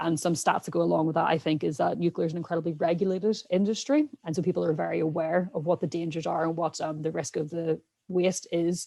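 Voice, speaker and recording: With a strong Irish accent, a woman rushes along at a very fast pace with hardly any pauses, her fairly low voice dark and mellow with vocal fry. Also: fairly even intonation. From Ireland. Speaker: scientist podcast co-host. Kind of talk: casual panel discussion.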